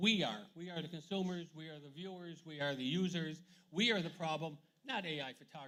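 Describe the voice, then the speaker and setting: Bright and sharp in tone, a man with an American accent speaks at a high pitch and a fairly quick pace, with ordinary pitch variation. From USA. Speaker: photographer and arts administrator. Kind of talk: festival talk with audience Q&A. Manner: fast.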